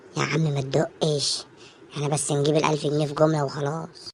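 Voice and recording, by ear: A cartoonish character voice at a low-to-middle pitch talks at a fairly quick pace with monotone, flat intonation.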